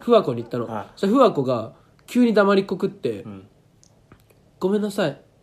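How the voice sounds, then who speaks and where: A man with a high voice swings widely in pitch and loudness. He leaves long, frequent pauses. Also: fairly quick pace. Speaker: podcast co-host. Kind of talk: casual chat.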